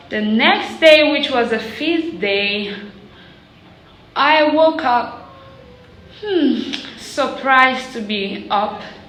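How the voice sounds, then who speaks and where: A woman speaks at a high pitch and a very slow pace, her intonation lively. Audible room echo and noticeable background noise fill the recording. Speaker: prophetic prayer YouTuber. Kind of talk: personal testimony vlog. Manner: quieter, weaker than usual.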